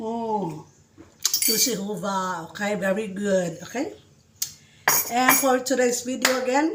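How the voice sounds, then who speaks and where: A woman's fairly high voice with ordinary pitch variation, very slow and full of long, frequent pauses, amid audible room echo and noticeable background noise. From Visayas, Philippines. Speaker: caregiver vlogger. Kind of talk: casual cooking vlog. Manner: energetic.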